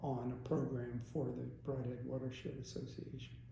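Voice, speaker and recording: A man's medium-pitched voice is heard with noticeable background noise around it. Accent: Northeast Pennsylvania. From Stroudsburg, Pennsylvania. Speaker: aquatic biologist. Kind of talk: interview answer.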